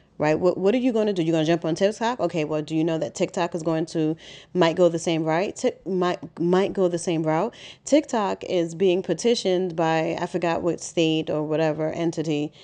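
A woman with a New York accent, a dark, mellow tone and fairly low pitch, at a fairly quick pace over a quiet background. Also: ordinary pitch variation. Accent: New York City. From Harlem, New York City. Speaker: podcast host, business coach. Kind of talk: solo podcast monologue. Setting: home. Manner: conversational, with many fillers.

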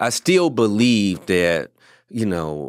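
Someone with a Louisiana accent speaks at a very slow pace on a very clean recording with a silent background and a dry, close sound with no echo. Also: man. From Louisiana (Ville Platte), US South; military childhood. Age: 40s. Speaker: motivational speaker, former educator. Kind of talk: interview, personal story.

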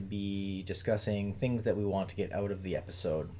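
Somewhat breathy and dark, mellow in tone, the man's fairly low voice moves at a moderate pace. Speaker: podcast co-host. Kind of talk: casual chat.

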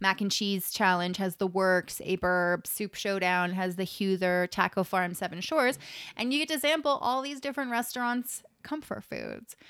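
Recorded very cleanly with a silent background, a woman with a Canadian accent has an ordinary speaking voice, medium in pitch, and talks at a moderate pace with lively intonation and hardly any pauses. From Waterloo region, Ontario. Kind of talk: event listings; casual chat. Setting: studio.

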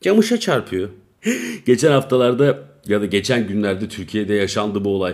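The pace is moderate, with ordinary pitch variation in a normal speaking voice. The recording is very clean, with a silent background. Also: man, fairly low pitch for a man. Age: 30s. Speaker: podcaster. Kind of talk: casual solo monologue. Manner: rambling, laughing at himself.

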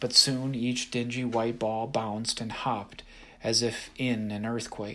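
An unforced reading voice carries the words here.

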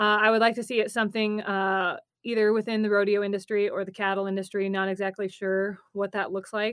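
An American accent from a woman at a medium pitch, fairly quick and flat in intonation. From Nebraska. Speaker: rancher and agriculture reporter. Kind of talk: podcast interview.

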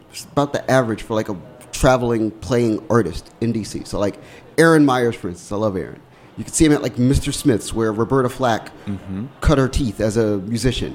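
In an unremarkable speaking voice with an American accent, the speaker talks at a fairly quick pace with ordinary pitch variation. The loudness swings widely. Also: man, medium pitch for a man. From Washington, D.C. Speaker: radio host. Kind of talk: casual chat. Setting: studio.

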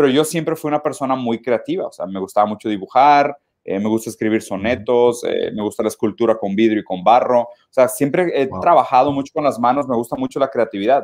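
A man's plain, everyday voice at medium pitch, fairly quick and with hardly any pauses, with ordinary pitch variation. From southern Brazil (Caxias do Sul). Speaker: philosophy commentator. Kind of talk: casual interview chat.

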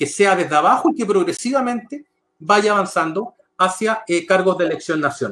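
This man has a high pitch and lively intonation, talking at a moderate pace. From Chile, San Bernardo (Santiago area). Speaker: political scientist, election expert. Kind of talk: interview on politics.

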